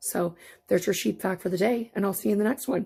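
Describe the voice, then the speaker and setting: Her voice carries a dark, mellow tone. This woman speaks with vocal fry. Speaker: fiber crafter, weaver. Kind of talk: casual talk to camera. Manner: chatty, playful.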